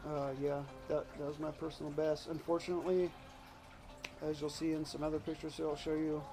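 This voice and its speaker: Over music in the background, a man talks at a fairly quick pace in a fairly high pitch, his intonation monotone and flat. He leaves long, frequent pauses. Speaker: urban bass angler. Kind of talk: casual talk to camera.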